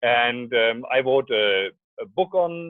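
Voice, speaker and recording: A man speaks with a strong German accent. His pitch varies in an ordinary way. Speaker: scientist and startup founder. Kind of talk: radio interview. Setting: phone call.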